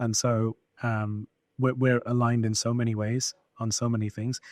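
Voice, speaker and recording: A man speaks with a Birmingham accent at a medium pitch. The sound is dry and close, with no echo. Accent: British English, Birmingham. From England, Birmingham. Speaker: scientist and tech founder. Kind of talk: interview. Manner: halting, many fillers and repeats.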